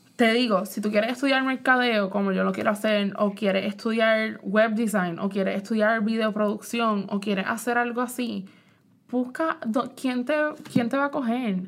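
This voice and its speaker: Fairly high in pitch, a woman with an ordinary speaking voice talks at a moderate pace with fairly even intonation. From Puerto Rico. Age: 20s. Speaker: podcast host. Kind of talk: casual chat.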